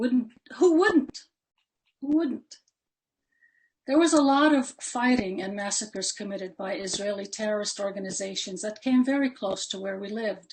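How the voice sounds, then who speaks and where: Somewhat breathy, a woman with an American accent uses lively intonation, big swings in loudness, and long, frequent pauses. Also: fairly high pitch for a woman, moderate pace. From Palestine and Jordan, then US. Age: 70s. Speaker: invited panelist. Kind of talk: personal testimony talk. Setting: webinar.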